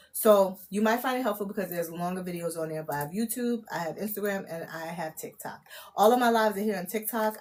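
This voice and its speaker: Very fast talk from a woman at medium pitch, ordinary pitch variation, noticeable background noise in the mix. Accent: American. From New York (Brooklyn). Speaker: tarot reader and livestreamer. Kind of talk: live channeled reading stream. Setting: livestream. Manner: casual.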